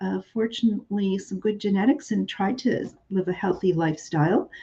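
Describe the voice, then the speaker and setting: A woman with a Canadian accent speaks at a moderate pace in a medium-pitched, somewhat breathy voice. Her tone is dark and mellow, and her intonation lively. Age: 60s. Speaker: online shop host. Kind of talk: live sales stream. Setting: livestream. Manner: chatty, with many fillers.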